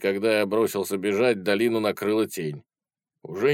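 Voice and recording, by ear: Reading aloud in a natural voice, the speaker keeps fairly even intonation while the background stays quiet.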